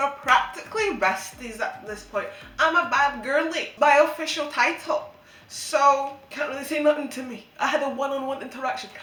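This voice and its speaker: Amid noticeable background noise and audible room echo, a woman with a high pitch uses a raised, projected voice in an animated tone, with ordinary pitch variation and big swings in loudness. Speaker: YouTuber. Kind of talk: casual vlog monologue. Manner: fast.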